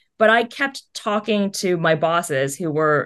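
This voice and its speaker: A woman speaks at a fairly low pitch in a Californian accent. The background is quiet. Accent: Californian American English. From US West Coast, Los Angeles County. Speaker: animation producer; interview guest. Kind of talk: casual interview chat. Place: home room. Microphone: video call.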